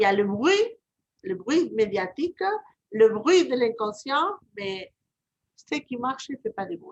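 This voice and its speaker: Fairly slow speech from a woman with a southern French accent, at a fairly high pitch, with very wide pitch swings, big swings in loudness and long, frequent pauses, in a dry, close sound with no echo. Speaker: reiki practitioner and channeler. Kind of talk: casual chat.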